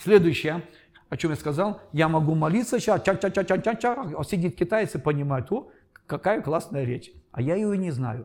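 With music in the background, a man speaks at a moderate pace in a high pitch with lively intonation. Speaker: pastor and Bible teacher. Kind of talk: lecture.

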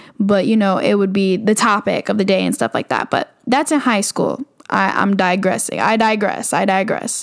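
A woman speaks at a moderate pace and medium pitch, with ordinary pitch variation and vocal fry. Her loudness stays very even, and she hardly pauses. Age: 20s. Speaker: podcast host, college student. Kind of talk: casual monologue.

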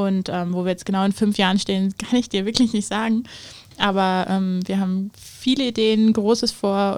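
This woman speaks at a moderate pace. Her intonation is monotone and flat. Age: 20s. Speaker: startup co-founder. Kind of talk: interview.

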